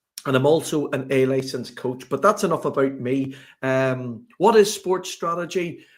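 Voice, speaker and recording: A man's medium-pitched voice in a Northern Irish accent, fairly slow, with ordinary pitch variation, on a very clean recording with a silent background. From Northern Ireland, Belfast. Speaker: sports strategy consultant. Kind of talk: podcast interview.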